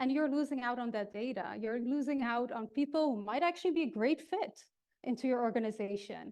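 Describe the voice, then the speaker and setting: A woman's high-pitched voice with ordinary pitch variation and a slight Dutch accent. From Netherlands. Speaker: keynote speaker on HR technology. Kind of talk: keynote speech. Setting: stage with audience.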